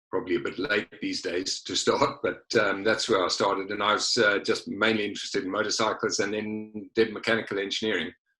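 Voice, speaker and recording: This man has a South African accent. He talks at a moderate pace. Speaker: former motorsport director of a carmaker. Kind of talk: interview. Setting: virtual studio, remote recording.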